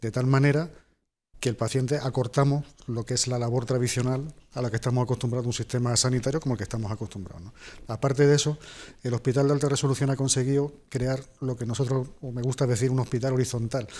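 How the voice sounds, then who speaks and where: A man with a dark, mellow tone, very fast pace and fairly even intonation. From Spain, Jaén (Andalusia); Andalusia, Spain. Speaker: hospital director and surgeon; guest. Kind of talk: TV interview. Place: studio. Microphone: lapel.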